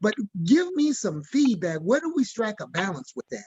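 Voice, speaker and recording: With an American accent, a man talks at a high pitch and his pitch swings very widely. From Mississippi, US South. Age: 70s. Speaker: church member asking questions. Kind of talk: community Q&A discussion. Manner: halting.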